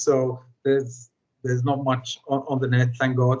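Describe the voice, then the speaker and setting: A man's voice comes across somewhat breathy. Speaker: cannabis reform campaigner, former footballer. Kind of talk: podcast interview.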